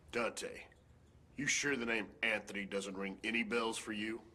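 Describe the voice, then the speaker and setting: Using a put-on character voice, a man with a raspy, calm tone speaks at a medium pitch and a moderate pace with monotone, flat intonation. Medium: cartoon. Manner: calm, measured.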